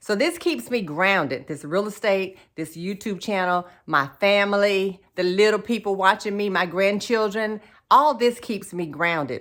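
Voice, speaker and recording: A woman's plain, everyday voice at medium pitch, fairly slow yet with hardly any pauses, lively in intonation, on a very clean recording with a silent background. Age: 50s. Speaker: realtor and lifestyle vlogger. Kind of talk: personal video diary monologue.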